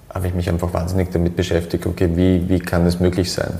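A man's very deep, low voice with monotone, flat intonation against noticeable background noise. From Austria, Graz. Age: 30s. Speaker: hairdresser and salon owner. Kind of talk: interview. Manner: halting, many repetitions.

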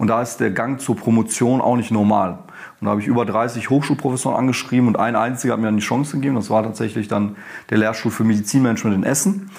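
A man's medium pitch varies in an ordinary way as he talks very fast. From Germany, Ruhr area. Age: 30s. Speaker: professor and dean. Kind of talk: interview.

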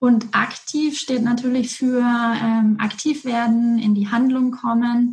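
A woman's high-pitched, monotone, flat delivery at a very slow pace, with very even loudness and hardly any pauses. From Franconia, Germany (Erlangen). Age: 30s. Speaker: coach and strategy manager. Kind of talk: interview.

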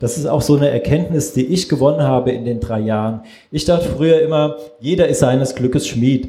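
The voice has a dark, mellow tone, somewhat breathy, with ordinary pitch variation. It moves at a fairly quick pace, and audible room echo surrounds it. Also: man, medium pitch for a man. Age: 40s. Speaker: photographer. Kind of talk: panel discussion.

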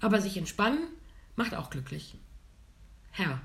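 Speaking at a medium pitch with vocal fry, a woman makes very wide pitch swings while audible room echo fills the recording. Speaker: podcast co-host. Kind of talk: casual chat. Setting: studio.

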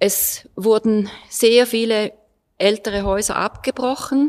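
Here a woman is speaking. Her pitch is medium. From eastern Switzerland. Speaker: art historian and local resident. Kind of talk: panel discussion.

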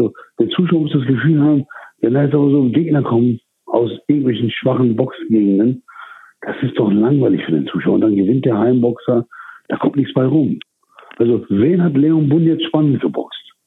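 At a moderate pace, a man speaks in a medium pitch with ordinary pitch variation and very even loudness. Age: 40s. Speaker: boxing promoter. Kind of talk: interview. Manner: halting.

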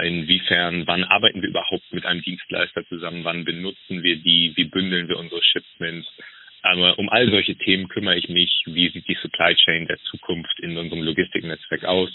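A man with a very deep, low voice talks at a fairly quick pace in a monotone, flat intonation. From northern Germany, Flensburg. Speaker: logistics manager. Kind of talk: interview. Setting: phone call. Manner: hesitant, many fillers.

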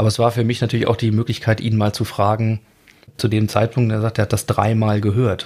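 Fairly quick and monotone, a man of medium pitch keeps his intonation flat. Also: very even loudness. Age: 40s. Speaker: audio biographer and podcast host. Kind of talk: interview. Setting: remote studio link call.

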